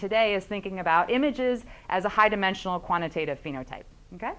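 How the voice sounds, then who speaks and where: This woman talks at a very fast pace. Her intonation is lively. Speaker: professor. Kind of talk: lecture. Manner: many fillers (uh, um).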